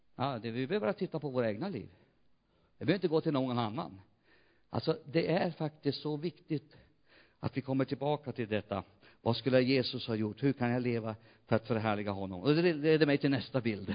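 A man speaks at a fairly quick pace with a medium pitch and lively intonation. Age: 60s. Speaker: pastor. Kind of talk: sermon. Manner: animated.

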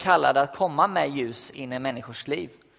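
A man's voice with ordinary pitch variation. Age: 20s. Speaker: youth pastor. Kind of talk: sermon. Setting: church. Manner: halting.

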